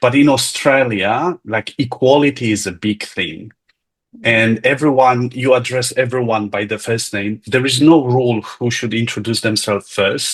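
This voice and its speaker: A medium-pitched man at a moderate pace, with ordinary pitch variation. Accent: Polish. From Poland. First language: Polish. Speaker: lecture participant. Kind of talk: casual chat.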